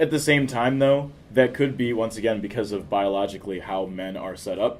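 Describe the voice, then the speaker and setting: At a fairly quick pace, a man with an unremarkable speaking voice talks in a medium pitch with ordinary pitch variation. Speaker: podcast host. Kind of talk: casual chat. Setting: coffee shop.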